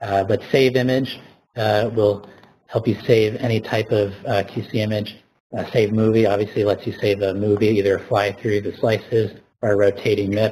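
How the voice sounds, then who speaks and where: The voice is dark and mellow, somewhat breathy, with flat, monotone intonation at a moderate pace. The recording is very clean, with a silent background. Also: man. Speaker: software developer presenter. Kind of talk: live software demo tutorial. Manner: halting, many fillers.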